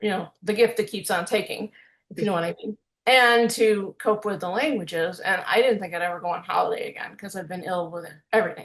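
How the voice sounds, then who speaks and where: A woman with an Illinois accent talks at a fairly quick pace. Her loudness swings widely, with ordinary pitch variation. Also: medium pitch for a woman. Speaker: music producer and youtuber, language learner. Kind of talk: casual chat.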